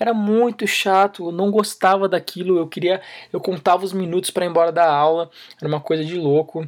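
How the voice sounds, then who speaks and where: The man's voice is high-pitched. The recording is very clean, with a silent background. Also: fairly quick pace. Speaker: podcast host and fitness youtuber. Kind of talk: casual solo monologue. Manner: fast, animated.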